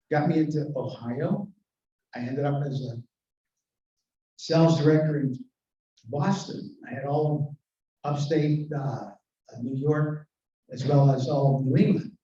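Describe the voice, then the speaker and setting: A man's fairly high, somewhat breathy voice, dark and mellow in tone, with ordinary pitch variation and long, frequent pauses. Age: 80s+. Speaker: retired sales executive and service club member. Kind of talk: convention speech. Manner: animated.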